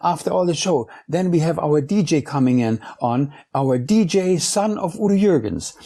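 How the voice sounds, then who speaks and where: Somewhat breathy with a dark, mellow tone, a man with a German accent uses lively intonation on a very clean recording with a silent background. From Germany, Munich. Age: 50s. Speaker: DJ. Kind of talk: interview conversation. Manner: halting, searching for words.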